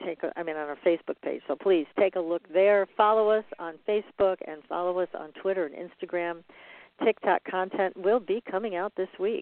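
At a moderate pace, a woman speaks in a normal speaking voice at a medium pitch with fairly even intonation and big swings in loudness. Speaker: radio host and paranormal researcher. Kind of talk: interview.

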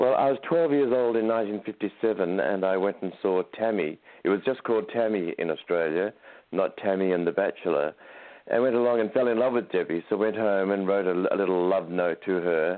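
At a moderate pace, a man with a plain, everyday voice speaks in a fairly low pitch with ordinary pitch variation and very even loudness. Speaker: author and producer, fan. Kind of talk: casual interview chat. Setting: phone call.

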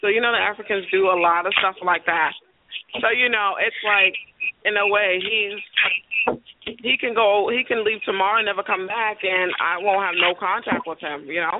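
With a slight Caribbean accent, a woman speaks at a moderate pace and medium pitch, her intonation fairly even. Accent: slight Caribbean-tinged English. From US, Caribbean family (Panama, Barbados). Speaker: caller. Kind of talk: phone-in advice consultation. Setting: phone call.

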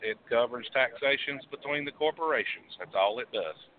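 In an unremarkable speaking voice, a man talks at a moderate pace and fairly high pitch with ordinary pitch variation. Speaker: caller. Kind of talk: phone-in call. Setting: phone call. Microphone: line dropping out.

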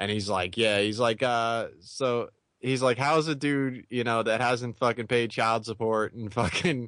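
a normal speaking voice at a moderate pace, with fairly even intonation and a quiet background. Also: man. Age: 30s. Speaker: wrestling podcast host. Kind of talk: casual chat.

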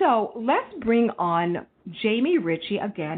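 Lively intonation in a woman's voice of medium pitch. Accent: American. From Texas. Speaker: radio host. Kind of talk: radio interview show. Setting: studio. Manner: animated.

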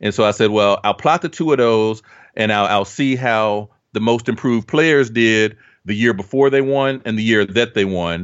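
A man with an American accent speaks at a medium pitch and a moderate pace. He has a plain, everyday voice with ordinary pitch variation. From US Midwest (Dayton, Ohio). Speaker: basketball analytics writer. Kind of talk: casual chat. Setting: podcast recording.

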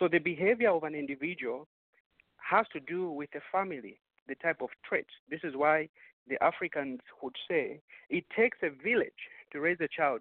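The man has an ordinary speaking voice, pitched fairly high. He talks at a moderate pace with ordinary pitch variation. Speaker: caller, association leader. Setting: phone call.

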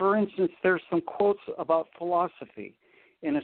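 A man's intonation is lively. He keeps a moderate pace. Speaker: spiritual book reader. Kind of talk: interview.

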